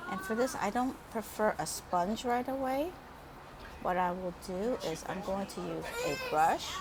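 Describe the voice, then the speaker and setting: Noticeable background noise and audible room echo surround the speech. A woman talks at a fairly slow pace with lively intonation. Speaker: beauty vlogger. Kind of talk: makeup tutorial. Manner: low-energy.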